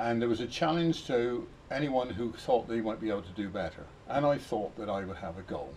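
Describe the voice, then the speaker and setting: A man with a West Country accent, medium pitch, lively intonation and moderate pace, light background noise. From Somerset, West Country of England. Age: 70s. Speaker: model engineer. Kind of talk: narrated presentation. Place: workshop. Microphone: camera far.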